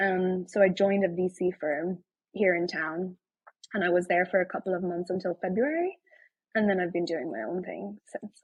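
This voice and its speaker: A woman with an Irish accent speaks at a moderate pace with ordinary pitch variation. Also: medium pitch for a woman. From Ireland. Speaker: tech founder and writer. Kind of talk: casual chat.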